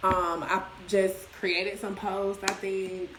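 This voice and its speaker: A woman's medium-pitched voice amid noticeable background noise and audible room echo. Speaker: business promoter. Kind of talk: casual livestream talk. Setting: livestream. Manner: loud; animated.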